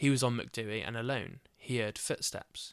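This man has a normal speaking voice at a medium pitch, with fairly even intonation, on a very clean recording with a silent background. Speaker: podcast host. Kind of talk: scripted true-crime style narration with casual chatty intro. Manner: casual, chatty, jokey in intro.

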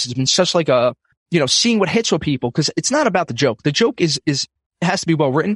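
A man with a New York accent speaks at a very fast pace in a high pitch, with very wide pitch swings. The sound is dry and close, with no echo. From US, Brooklyn, New York. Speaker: financial advisor, podcaster and comedian. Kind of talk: casual chat.

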